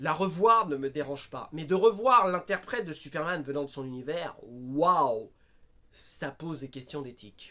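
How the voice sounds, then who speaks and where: A man with a fairly high pitch and a bright, sharp tone speaks at a fairly slow pace. His intonation is lively. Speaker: film reviewer. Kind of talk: casual film review monologue. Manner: raised voice, agitated.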